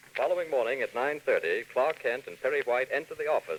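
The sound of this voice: A man talks at a fast pace. His intonation is lively.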